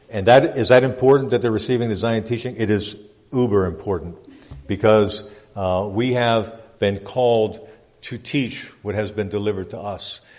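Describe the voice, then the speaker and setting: Audible room echo surrounds a man speaking at a fairly low pitch. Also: fairly even intonation. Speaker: pastor. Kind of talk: church report reading. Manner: fast.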